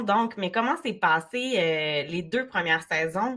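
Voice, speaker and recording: A woman's bright, sharp tone, with lively intonation at a fairly slow pace. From Quebec, Côte-Nord (Baie-Comeau). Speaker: podcast host, entrepreneur. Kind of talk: interview.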